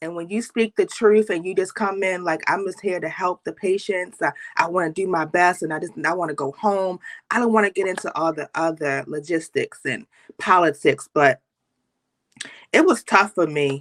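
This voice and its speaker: With a plain, everyday voice, a woman in an American accent talks at a medium pitch and moderate pace, with ordinary pitch variation and a dry, close sound with no echo. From Baltimore, US. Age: 30s. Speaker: nurse and motivational speaker. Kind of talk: interview.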